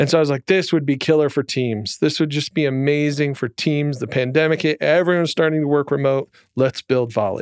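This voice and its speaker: A man with an American accent has an ordinary speaking voice, a fairly high pitch and fairly even intonation at a fairly quick pace. The sound is dry and close with no echo, over a quiet background. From Michigan, Jackson. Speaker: startup founder and CEO. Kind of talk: interview.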